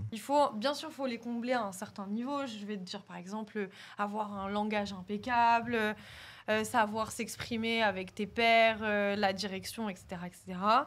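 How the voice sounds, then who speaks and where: Speaking at a fairly slow pace with a slight Paris suburban accent, a woman uses a fairly high pitch and fairly even intonation, her loudness swinging widely, on a very clean recording with a silent background. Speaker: podcast guest. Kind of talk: casual chat. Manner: hesitant.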